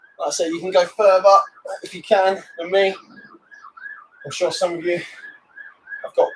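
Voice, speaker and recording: A man speaks at a moderate pace. His voice is high-pitched. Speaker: fitness coach. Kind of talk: workout instruction. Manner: encouraging, instructive.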